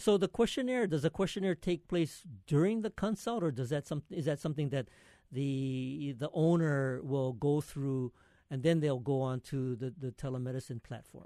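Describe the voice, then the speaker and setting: A man's fairly high-pitched voice with a dark, mellow tone, lively intonation and a moderate pace, over a quiet background. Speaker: radio host. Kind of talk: radio interview. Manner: hesitant, filler words.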